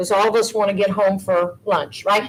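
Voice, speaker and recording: Amid noticeable background noise, a woman speaks with an American accent. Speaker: election board chair. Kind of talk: public meeting.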